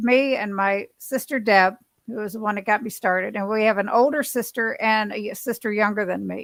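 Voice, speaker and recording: Over a very clean recording with a silent background, a woman with an ordinary speaking voice and a fairly high pitch talks at a moderate pace with fairly even intonation. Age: 60s. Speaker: keto dieter sharing weight-loss journey. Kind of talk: casual chat.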